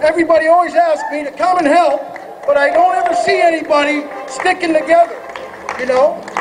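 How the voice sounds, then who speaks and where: A man with an American accent speaks at an extremely high pitch with fairly even intonation. Crowd noise and audible room echo are in the background. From Oregon, US Pacific Northwest. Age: 40s. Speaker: activist's son speaking at rally. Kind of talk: rally speech. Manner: halting.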